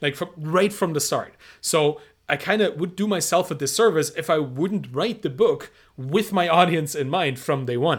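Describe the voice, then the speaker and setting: With a German accent, a man speaks in a high pitch with ordinary pitch variation. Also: moderate pace. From Germany. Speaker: entrepreneur and author. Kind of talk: interview. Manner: halting, frequent repetitions.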